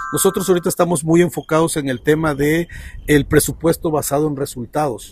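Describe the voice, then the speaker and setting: Music plays in the background as a man speaks at a fairly quick pace. His pitch is fairly high and his intonation is fairly even. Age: 40s. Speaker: economist and lecturer. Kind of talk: casual interview.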